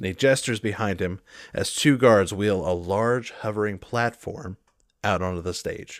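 A man with a normal speaking voice, pitched fairly low, talks at a moderate pace with ordinary pitch variation. The recording is very clean, with a silent background. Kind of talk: tabletop roleplay game master narration.

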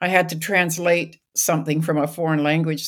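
A woman with a Canadian accent speaks at a moderate pace on a very clean recording with a silent background. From British Columbia, Canada. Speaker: professor. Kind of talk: interview. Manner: halting.

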